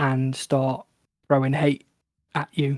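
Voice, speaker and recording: A man is speaking here. His pitch is fairly high. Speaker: gaming video creator. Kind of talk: casual chat. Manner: relaxed, calm.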